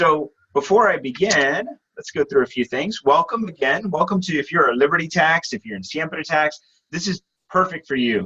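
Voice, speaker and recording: Loud, bright, sharp tone with lively intonation at a moderate pace, in a dry, close sound with no echo. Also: man, high pitch for a man. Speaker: webinar presenter for insurance business. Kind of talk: sales presentation webinar. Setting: video call webinar.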